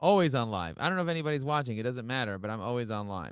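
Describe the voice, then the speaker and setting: A man with an American accent talks at a very fast pace with lively intonation. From Brooklyn, New York. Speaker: podcast host and entrepreneur. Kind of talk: casual interview chat. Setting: live-streamed video call. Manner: fast, animated.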